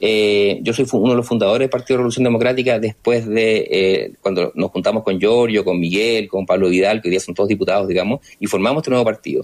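With hardly any pauses, the very fast speech keeps fairly even intonation. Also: man, medium pitch for a man. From Chile, Rancagua. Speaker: politician, sociologist. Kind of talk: radio interview. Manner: halting.

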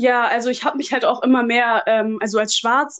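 Speaking at a very fast pace, a woman keeps her intonation monotone and flat. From Germany. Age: 20s. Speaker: social work student. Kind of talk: casual interview.

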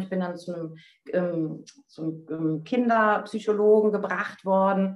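A woman uses a normal speaking voice at medium pitch with fairly even intonation. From Germany, North Rhine-Westphalia. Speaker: spiritual coach. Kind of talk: casual interview chat. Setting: online call.

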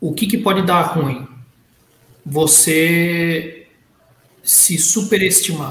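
Audible room echo surrounds a man speaking very slowly at a high pitch. He leaves long, frequent pauses and uses ordinary pitch variation. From Brazil. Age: 40s. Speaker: panelist. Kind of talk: casual chat.

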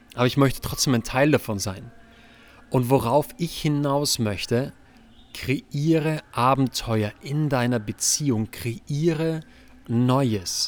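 This man talks at a very slow pace with a medium pitch. His pitch varies in an ordinary way. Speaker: relationship podcast host. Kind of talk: solo podcast monologue. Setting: outdoors on a terrace, recording on laptop. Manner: animated. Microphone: laptop and external microphone.

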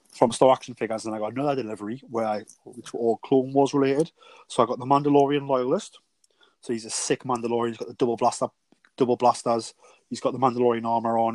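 A man with a British accent, very fast and in a flat monotone. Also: dry, close sound with no echo. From UK. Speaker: podcast co-host. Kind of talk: casual chat.

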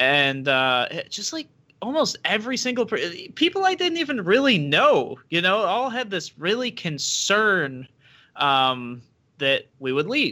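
With a Western New York accent, a man uses a raised, projected voice at a high pitch and a fairly slow pace. His tone is bright and sharp, with very wide pitch swings. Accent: Western New York American. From Rochester, Western New York, US. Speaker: libertarian political candidate. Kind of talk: interview. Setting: video call.

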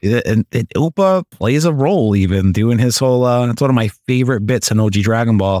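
A man with a plain, everyday voice talks at a fairly quick pace with hardly any pauses, using lively intonation in a medium pitch at very even loudness, in a dry, close sound with no echo. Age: 30s. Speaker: podcast host. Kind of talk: casual chat.

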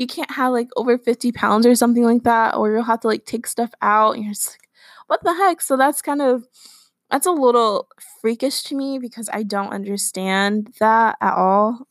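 A woman with a normal speaking voice and a fairly high pitch speaks at a moderate pace with ordinary pitch variation and big swings in loudness. The sound is dry and close with no echo, on a very clean recording with a silent background. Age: young. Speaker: solo podcast host. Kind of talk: casual monologue.

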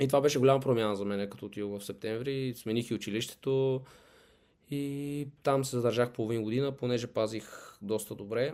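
Speaking in a plain, everyday voice, a man keeps a medium pitch, a fairly quick pace and fairly even intonation in a very clean recording with a silent background. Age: 20s. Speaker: professional football goalkeeper. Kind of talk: interview.

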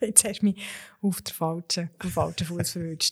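Over a silent background in a very clean recording, a woman speaks very slowly at a medium pitch in a flat monotone. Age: 30s. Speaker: lawyer and managing director. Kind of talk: interview.

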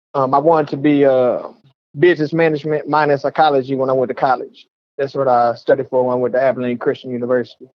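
Speaking at a very fast pace, a man with an American accent has a fairly high pitch. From Texas, Waco. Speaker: rapper. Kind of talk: interview.

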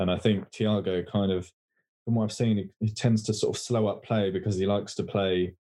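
A fairly low-pitched man speaks at a moderate pace in a dark, mellow tone with an English accent. His intonation is monotone and flat, in a very clean recording with a silent background. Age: 20s. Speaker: football podcast co-host. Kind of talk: casual chat.

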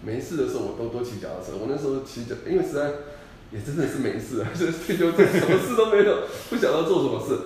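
A man races along at a very fast pace while noticeable background noise and audible room echo fill the recording. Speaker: company employee rehired after retirement. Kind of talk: casual interview chat.

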